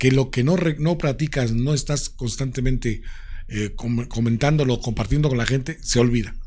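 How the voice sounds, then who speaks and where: Somewhat breathy, a man speaks at a moderate pace. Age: 60s. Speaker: radio announcer and presenter. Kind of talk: interview. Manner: animated.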